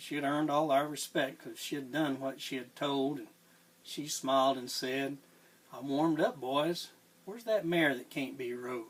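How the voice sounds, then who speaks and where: A man with a Southern US accent, fairly high in pitch, at a moderate pace with ordinary pitch variation. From Tennessee. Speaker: cowboy poet. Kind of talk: poetry reading.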